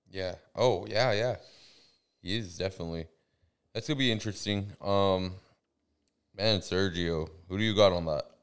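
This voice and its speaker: A man speaks at a moderate pace with fairly low pitch, ordinary pitch variation and an American accent, leaving long, frequent pauses. The recording is very clean, with a silent background. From Central California. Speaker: MMA podcast co-host. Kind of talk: casual chat. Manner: animated.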